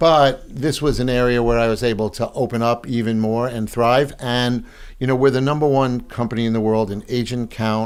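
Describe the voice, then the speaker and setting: Speaking with a Long Island accent, a man of medium pitch keeps a moderate pace and a fairly even intonation. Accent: Long Island New York. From Long Island, New York (South Shore). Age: 70s. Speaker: real estate broker and speaker. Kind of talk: podcast interview.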